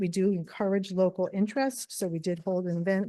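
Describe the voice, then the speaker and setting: Soft-spoken and monotone, a woman with a dark, mellow tone talks at a moderate pace in a medium pitch, the sound dry and close with no echo against a quiet background. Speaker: renewable energy developer. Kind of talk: public meeting presentation. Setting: town board meeting.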